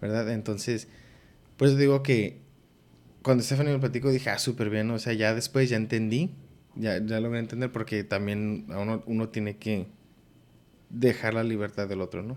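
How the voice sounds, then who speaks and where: Long, frequent pauses break up a man's moderate pace, his medium pitch showing ordinary pitch variation. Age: 20s. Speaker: podcast host. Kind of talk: casual chat.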